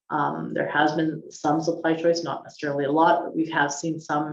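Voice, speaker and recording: Fairly quick and monotone, a woman speaks in a very deep, low voice with flat intonation. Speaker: chief economist. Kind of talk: webinar presentation. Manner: fast; hesitant, many ums.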